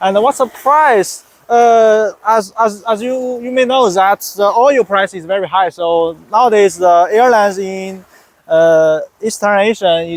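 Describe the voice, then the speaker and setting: Pitched high, a man speaks at a fairly slow pace with ordinary pitch variation. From China. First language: Chinese. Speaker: software developer, English learner. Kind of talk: interview. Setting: Thailand, in person. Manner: halting, many hesitations and repetitions.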